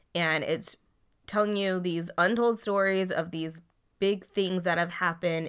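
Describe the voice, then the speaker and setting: The very clean recording, with a silent background, carries a woman's fairly low pitch and fairly even intonation. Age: 20s. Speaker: podcast co-host. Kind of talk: casual chat.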